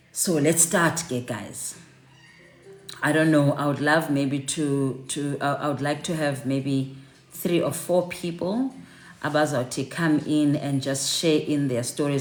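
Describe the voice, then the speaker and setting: With a South African accent, a woman talks at a moderate pace in a very deep, low voice with fairly even intonation. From South Africa, Cape Town. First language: Xhosa. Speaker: online networking session host. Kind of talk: live online group chat. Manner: halting, many repeated words.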